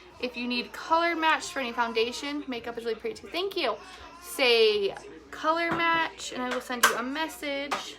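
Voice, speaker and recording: A woman with a high pitch and lively intonation speaks in a raised, projected voice at a moderate pace amid noticeable background noise. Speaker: makeup tutorial host. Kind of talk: live makeup tutorial.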